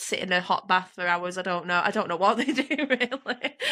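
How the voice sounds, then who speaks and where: A woman with a bright, sharp tone, at a fairly quick pace. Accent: Manchester. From northern England, Oldham, Greater Manchester. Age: 30s. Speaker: strongwoman athlete and nurse. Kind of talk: casual chat. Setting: podcast interview. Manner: animated.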